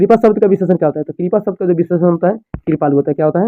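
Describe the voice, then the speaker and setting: This man speaks with a high-pitched voice. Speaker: teacher. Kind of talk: tutorial. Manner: fast.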